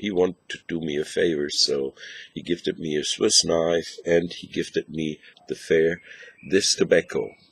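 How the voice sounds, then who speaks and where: Speaking at a moderate pace with a German accent, the voice shows big swings in loudness. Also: man. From northern Germany. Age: 60s. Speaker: pipe smoking video blogger. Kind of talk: casual video review. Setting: outdoors. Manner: halting.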